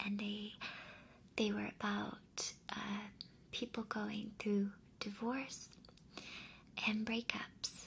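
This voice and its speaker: A soft-spoken woman is whispering at a very slow pace. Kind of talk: ASMR advice talk to camera. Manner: whispered, soft-spoken.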